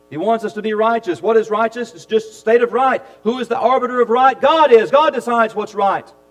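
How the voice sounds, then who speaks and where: High pitch in a man's voice, its pitch varying in an ordinary way. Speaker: preacher. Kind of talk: sermon. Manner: animated.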